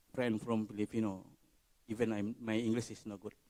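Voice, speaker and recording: A man speaks with an Indonesian accent. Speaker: conference audience member asking a question. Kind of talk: Q&A question. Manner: halting.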